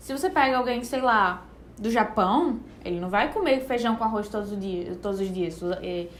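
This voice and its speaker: A woman with a northeastern Brazilian accent, fairly high pitch, and lively intonation at a moderate pace, with audible room echo. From Brazilian Northeast, Recife. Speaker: nutritionist. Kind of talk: casual podcast chat. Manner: relaxed, conversational.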